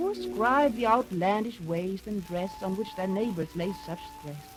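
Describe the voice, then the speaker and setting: Music in the background beneath a woman's moderately paced speech. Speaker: narrator. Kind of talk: radio play narration of a poem.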